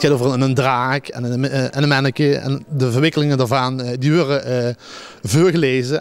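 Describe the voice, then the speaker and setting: Intonation here is fairly even. The delivery comes at a fairly quick pace. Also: man. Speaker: dictation contest organizer. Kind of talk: interview answer. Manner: hesitant, many filler sounds.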